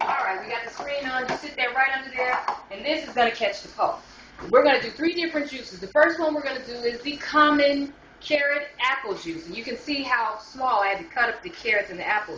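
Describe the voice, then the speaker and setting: A woman speaks in a raised, projected voice at a fairly quick pace, her pitch high and her intonation lively, with big swings in loudness, noticeable background noise and audible room echo. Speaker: home juicing demonstrator. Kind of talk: tutorial. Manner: casual, conversational with fillers; fast.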